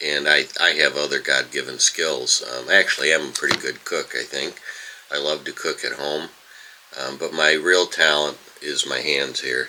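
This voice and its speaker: A man with an American accent talks at a moderate pace, with noticeable background noise behind him. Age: 70s. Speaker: retired school bus driver, video blogger. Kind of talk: casual vlog monologue. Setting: home, early morning. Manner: halting, many fillers.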